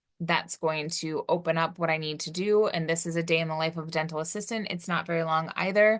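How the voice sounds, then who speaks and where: A woman speaks at a fairly low pitch with fairly even intonation. The background is quiet. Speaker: college instructor. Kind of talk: recorded course tutorial. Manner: fast; casual, with fillers.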